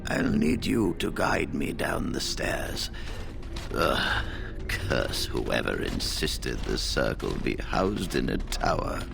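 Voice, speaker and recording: Over loud background music, a man does a put-on character voice at a fairly slow pace. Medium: machinima. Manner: dignified, measured.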